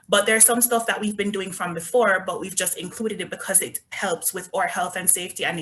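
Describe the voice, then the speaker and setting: A woman speaks in a Jamaican accent. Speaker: resort company representative. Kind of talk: sales presentation.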